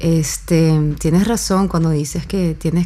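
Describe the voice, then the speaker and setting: Over noticeable background noise, a woman talks in a fairly low pitch with fairly even intonation. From mixed European and Venezuelan heritage. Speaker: musician. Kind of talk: casual conversation.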